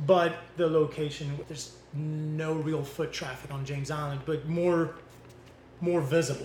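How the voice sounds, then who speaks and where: A man's fairly high voice moves at a fairly slow pace with monotone, flat intonation. His loudness swings widely. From Belgium. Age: 40s. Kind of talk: casual interview. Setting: live in a bakery.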